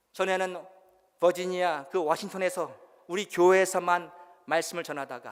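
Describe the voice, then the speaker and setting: A man's voice is high in pitch. He talks at a moderate pace. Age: 60s. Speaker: pastor and missionary. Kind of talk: sermon.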